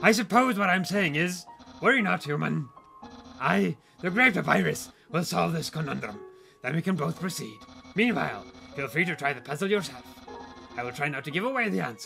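Over clear music in the background, a man puts on a character voice, fairly high in pitch and delivered at a fairly quick pace. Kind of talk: comic overacting. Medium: game stream. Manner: pompous, excitable, theatrical.

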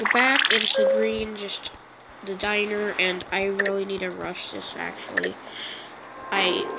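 A woman at a fairly slow pace with long, frequent pauses over noticeable background noise. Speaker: gaming YouTuber. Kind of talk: let's play gameplay commentary. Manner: halting, many filler words.

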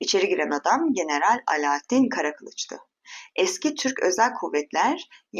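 Quiet surroundings behind a natural voice reading aloud.

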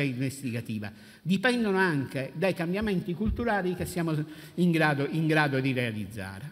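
Very wide pitch swings from a man talking at a fairly quick pace. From Sicily. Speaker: brother of a murdered police officer, anti-mafia activist; conference panelist. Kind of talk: panel talk. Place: hall. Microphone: podium.

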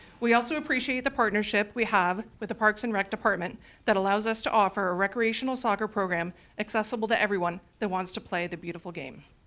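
A woman's medium-pitched, bright, sharp voice at a very fast pace, with ordinary pitch variation. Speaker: youth soccer league commissioner. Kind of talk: public remarks at council meeting. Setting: city council chamber.

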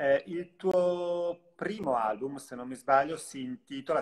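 A man at a very slow pace, with ordinary pitch variation and a quiet background. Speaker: live-stream interviewer. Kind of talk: live interview. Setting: video call. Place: home room. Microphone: video call.

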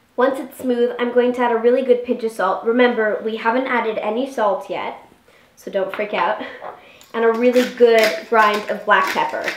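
With audible room echo, a woman speaks at a moderate pace and with fairly even intonation. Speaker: home cooking show host. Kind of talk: tutorial. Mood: cheerful, playful. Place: kitchen. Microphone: camera far.

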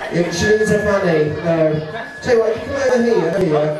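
A man is speaking. Noticeable background noise and audible room echo are present. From UK. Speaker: stage hypnotist. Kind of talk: live hypnosis show.

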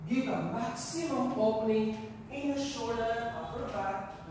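Through strong room echo and noticeable background noise, a woman with a high pitch speaks at a very slow pace. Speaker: yoga instructor. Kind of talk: class instruction cues. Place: gym.

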